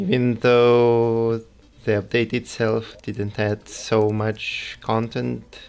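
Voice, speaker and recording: A very slow, flat monotone with a strong Russian accent. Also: man, medium pitch for a man. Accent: heavy Russian. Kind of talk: game livestream commentary. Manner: quiet, calm.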